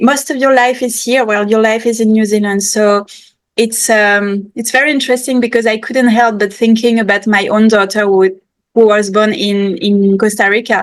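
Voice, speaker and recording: A woman speaks in a French accent at a fairly high pitch. Her intonation stays fairly even. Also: moderate pace. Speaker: podcast host. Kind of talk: podcast interview. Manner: halting.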